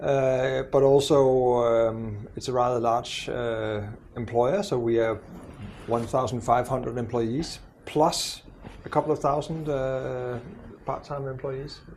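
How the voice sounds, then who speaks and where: A man talks at a fairly slow pace with long, frequent pauses and fairly even intonation. Audible room echo surrounds his voice. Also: medium pitch for a man. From Denmark. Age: 60s. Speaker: university president. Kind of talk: podcast interview. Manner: hesitant, many fillers.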